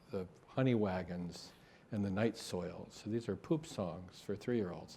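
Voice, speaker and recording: This is an unremarkable speaking voice, a man's with fairly low pitch and an American accent. He moves at a moderate pace with ordinary pitch variation. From grew up partly in Japan, American family. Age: 60s. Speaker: architect and designer. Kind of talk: panel discussion.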